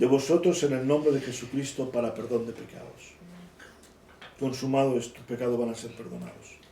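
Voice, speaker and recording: A man at a medium pitch and moderate pace, fairly even intonation, with noticeable background noise. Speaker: bible teacher. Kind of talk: bible study teaching.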